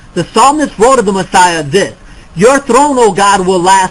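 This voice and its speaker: A man with a high pitch speaks at a moderate pace with lively intonation, and background noise is noticeable. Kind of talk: debate. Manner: halting.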